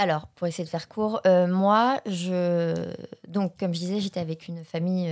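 Here is a woman with a normal speaking voice. Her intonation stays fairly even. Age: 20s. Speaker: acting student. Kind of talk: testimony.

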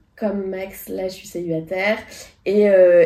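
The intonation is monotone and flat, set against noticeable background noise. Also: woman. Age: 30s. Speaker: podcast co-host. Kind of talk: casual chat.

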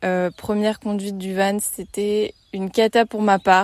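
A woman at medium pitch and a fairly slow pace, in a very clean recording with a silent background. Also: dry, close sound with no echo. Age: 20s. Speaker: travel podcaster. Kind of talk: casual monologue. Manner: informal, hesitant with fillers.

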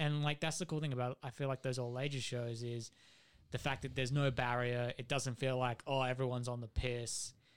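In a very clean recording with a silent background, a man with an Australian accent talks fairly quickly at medium pitch in a monotone, flat intonation. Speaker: metal band musician. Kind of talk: casual chat.

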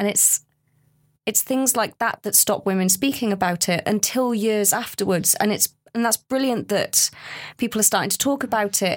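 A woman with an ordinary speaking voice, fairly high pitch, ordinary pitch variation and very even loudness. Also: moderate pace, dry, close sound with no echo. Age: 30s. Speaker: research participant, mother with postnatal depression. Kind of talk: casual chat.

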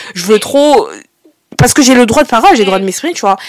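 A woman's voice with ordinary pitch variation. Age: 20s. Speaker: podcast host. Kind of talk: casual chat.

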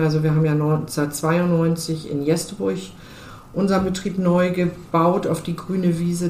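Intonation stays fairly even, with audible room echo around the voice. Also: woman. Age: 50s. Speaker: car dealership co-owner and managing director. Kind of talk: interview.

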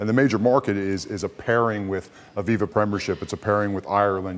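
A man with a Kentucky accent, fairly low pitch, very fast pace and fairly even intonation, over noticeable background noise. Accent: American (Kentucky). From US, Louisville, Kentucky. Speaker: former rugby player, rugby executive. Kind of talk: casual chat.

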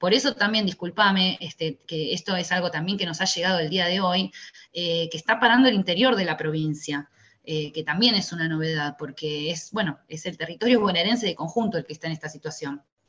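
Bright and sharp in tone, a woman talks at a fairly low pitch and a fairly quick pace with ordinary pitch variation. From Tigre, Buenos Aires province, Argentina. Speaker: teachers' union leader. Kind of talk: interview.

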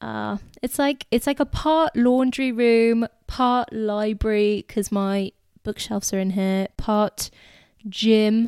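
A woman's fairly high voice with a dark, mellow tone and fairly even intonation, dry and close with no echo, in a very clean recording over a silent background. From England. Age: 20s. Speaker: podcast host. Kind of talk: casual chat.

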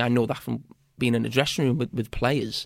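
A medium-pitched man with a Liverpool accent. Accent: Scouse (Liverpool). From Bootle, Merseyside, England. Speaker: former footballer and TV pundit. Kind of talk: casual interview chat. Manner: halting, with frequent repetitions.

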